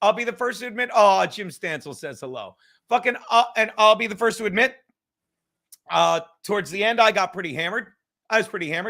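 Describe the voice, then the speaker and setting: A man's raised, projected voice, high-pitched and bright and sharp, at a very fast pace with big swings in loudness and long, frequent pauses, on a very clean recording with a silent background. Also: ordinary pitch variation. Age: 50s. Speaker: comedian. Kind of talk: casual chat.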